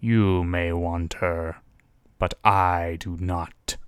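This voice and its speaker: In a put-on character voice, a man growls in a gravelly, very deep, low pitch with a solemn tone, monotone, flat intonation and a very slow pace, on a very clean recording with a silent background. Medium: read story. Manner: growling, solemn.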